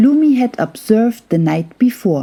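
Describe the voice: Speaking at a fairly slow pace, a woman has a fairly high pitch with big swings. Her tone is dark and mellow with a slightly husky edge.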